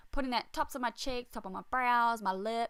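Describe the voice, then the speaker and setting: A woman with an Australian accent, bright, sharp tone and ordinary pitch variation. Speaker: beauty vlogger. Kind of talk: makeup tutorial voiceover. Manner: casual.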